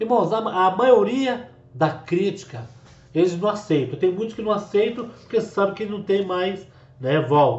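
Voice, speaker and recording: Lively intonation runs through a man's fairly slow delivery. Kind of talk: religious commentary to camera.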